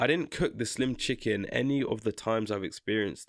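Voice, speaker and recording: In a very clean recording with a silent background and a dry, close sound with no echo, a man speaks at a fairly quick pace in an animated tone with ordinary pitch variation. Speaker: YouTuber reacting to opinions. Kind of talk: casual reaction commentary. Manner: fast.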